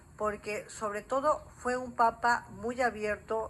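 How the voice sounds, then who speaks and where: Very slow, fairly high-pitched female speech with fairly level intonation. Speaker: journalist. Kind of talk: TV interview.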